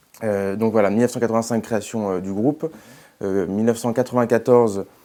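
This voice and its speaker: A dark, mellow tone with a slight Toulouse accent, fairly even intonation and a fairly quick pace, on a very clean recording with a silent background. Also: man, medium pitch for a man. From Toulouse, southern France. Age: young. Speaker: hotel group executive. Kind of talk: interview. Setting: TV studio. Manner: hesitant, many fillers.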